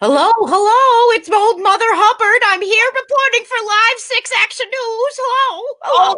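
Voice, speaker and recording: Using a put-on character voice, a woman speaks at an extremely high pitch with ordinary pitch variation. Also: moderate pace. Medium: stage play. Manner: fussy, repetitive.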